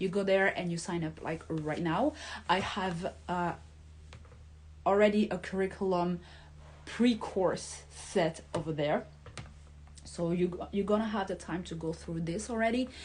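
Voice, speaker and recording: Speaking fairly slowly with long, frequent pauses, a woman uses a fairly low pitch, vocal fry and ordinary pitch variation. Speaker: hypnotherapist and life coach. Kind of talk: talking-head video with course pitch. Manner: pauses to find words.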